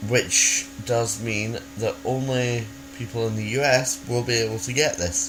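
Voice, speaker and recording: Over noticeable background noise, a man talks fairly slowly in a medium pitch with lively intonation. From Scotland. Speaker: video blogger. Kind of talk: casual vlog. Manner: halting, many fillers and restarts.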